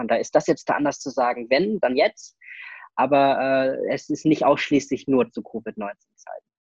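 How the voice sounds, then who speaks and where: A man speaks at a moderate pace in a plain, everyday voice, his pitch medium. The sound is dry and close, with no echo. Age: young. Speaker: IT security consultant. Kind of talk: interview. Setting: video call.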